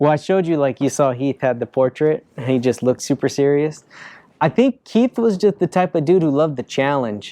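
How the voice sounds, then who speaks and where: Dry, close sound with no echo and a quiet background, a man with an American accent, fairly high pitch, dark, mellow tone, fairly quick pace. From Southern California, Norwalk. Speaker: professional skateboarder. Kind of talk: interview answering fan questions. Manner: casual, filler-heavy.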